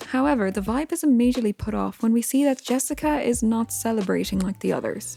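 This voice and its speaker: Fairly quick speech from a woman with music in the background. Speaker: video game analysis YouTuber. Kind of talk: video essay narration.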